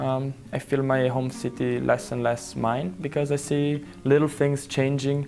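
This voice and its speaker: With an Italian accent, a man speaks at a fairly slow pace and medium pitch, with ordinary pitch variation and hardly any pauses. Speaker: interviewee living abroad. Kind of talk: interview answer. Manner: halting.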